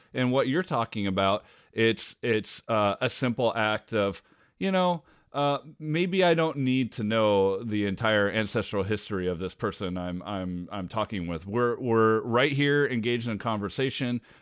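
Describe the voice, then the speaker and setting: An unremarkable speaking voice from a man with an American accent, medium pitch and lively intonation comes at a moderate pace on a very clean recording with a silent background. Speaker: podcast host. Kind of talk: casual conversation.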